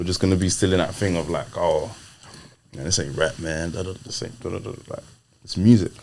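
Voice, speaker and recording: A man with a British accent and a very deep, low voice, a fairly quick pace, ordinary pitch variation, and noticeable background noise. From UK, Nigerian heritage. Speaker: rapper. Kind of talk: casual interview chat. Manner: animated.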